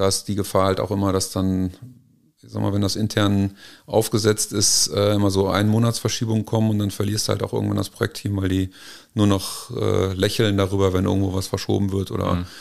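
Delivered at a fairly quick pace, the speech keeps a monotone, flat intonation. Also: man, fairly low pitch for a man. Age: 40s. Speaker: business consultant. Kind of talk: interview. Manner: halting.

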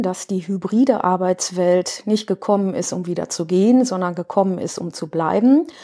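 The voice has a dark, mellow tone, ordinary pitch variation, and a moderate pace. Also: woman. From Ruhr area, Germany (Duisburg). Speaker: interior architect, workplace consultant. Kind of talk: interview.

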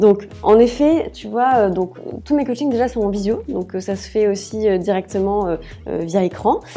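Over music in the background, a woman talks at a fairly slow pace and medium pitch, with ordinary pitch variation and big swings in loudness. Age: 30s. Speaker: personal stylist and wardrobe coach. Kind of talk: casual interview. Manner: hesitant, many fillers.

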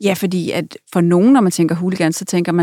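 This woman has a fairly low pitch, fairly even intonation, and an ordinary speaking voice. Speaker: podcast host. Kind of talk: interview. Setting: studio.

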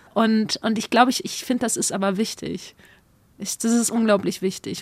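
A woman talks at a moderate pace with ordinary pitch variation. She has an ordinary speaking voice. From East Belgium, German-speaking community. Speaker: spoken word artist and youth workshop leader. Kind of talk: interview testimony.

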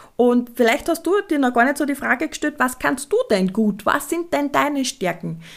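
Here a woman speaks in a high voice. She hardly pauses at all. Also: moderate pace. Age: 30s. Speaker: podcast host, essential oils business. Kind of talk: casual solo podcast monologue.

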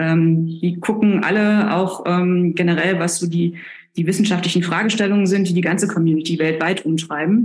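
At a moderate pace, a woman with fairly low pitch speaks in a monotone, flat intonation at very even loudness. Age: 40s. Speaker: planetary scientist. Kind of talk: interview. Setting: remote call. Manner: hesitant with fillers.

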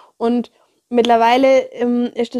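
A woman's fairly high voice with a dark, mellow tone, at a very slow pace, in a dry, close sound with no echo. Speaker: podcast host, educator and coach. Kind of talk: guided meditation. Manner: slow, calm, soothing, gentle; soft-spoken, hushed, measured pauses.

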